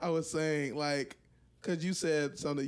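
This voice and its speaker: A man speaks at a fairly slow pace, his pitch fairly high and his intonation fairly even. It is a normal speaking voice. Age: 20s. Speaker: photographer. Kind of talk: casual chat. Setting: home recording.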